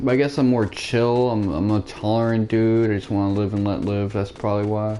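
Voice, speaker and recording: Against noticeable background noise, a man talks at a fairly quick pace with a fairly low pitch and fairly even intonation. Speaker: video game streamer. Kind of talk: casual gameplay commentary. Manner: stuttering; casual, rambling with fillers.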